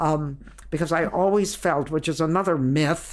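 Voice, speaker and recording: Very deep, low female voice with vocal fry at a moderate pace. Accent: American. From Ohio, US. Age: 80s+. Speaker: stand-up comedian. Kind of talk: interview. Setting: at home.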